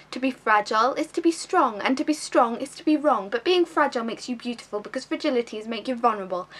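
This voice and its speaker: Noticeable background noise sits behind a woman's voice. Her pitch is high and her intonation lively. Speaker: actress. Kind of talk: slam poetry performance.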